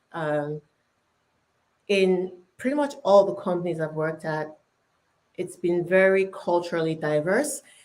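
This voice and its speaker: A woman speaks in a Nigerian accent at a fairly slow pace. Her pitch sits fairly low. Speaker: chief product officer. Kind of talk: panel discussion.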